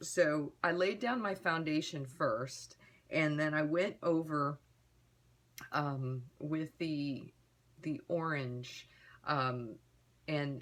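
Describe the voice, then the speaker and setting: The speech is very slow, with lively intonation. The recording is very clean, with a silent background. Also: woman. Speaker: beauty vlogger. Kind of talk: product review tutorial. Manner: halting with fillers.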